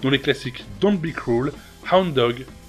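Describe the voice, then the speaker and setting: Over music in the background, a man with a fairly high voice moves at a moderate pace through very wide pitch swings. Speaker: YouTube host. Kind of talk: biography narration.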